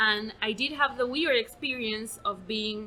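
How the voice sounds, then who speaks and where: A woman speaks at a fairly slow pace with a fairly high pitch, fairly even intonation and a strong Argentinian accent. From Argentina, Buenos Aires. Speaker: podcast host and comedian. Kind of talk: casual interview chat.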